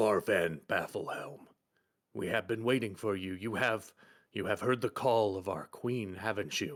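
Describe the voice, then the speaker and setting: A man performs a put-on character voice. It sounds raspy. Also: fairly low pitch for a man, moderate pace. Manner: solemn, formal.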